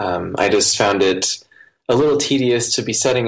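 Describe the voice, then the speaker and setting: With an American accent, a man talks at a fairly quick pace and with ordinary pitch variation. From US Midwest, rural Iowa. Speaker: software developer. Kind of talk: interview.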